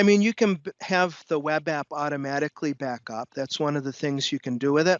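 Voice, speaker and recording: Barely pausing, a man with a plain, everyday voice talks at a fairly quick pace in a fairly high pitch. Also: ordinary pitch variation. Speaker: technical instructor. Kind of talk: lecture with live demo.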